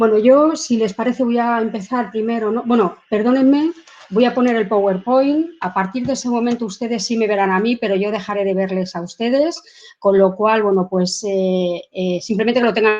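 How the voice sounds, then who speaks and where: Fairly high pitch from a woman, with ordinary pitch variation. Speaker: professor. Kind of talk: lecture. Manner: fast.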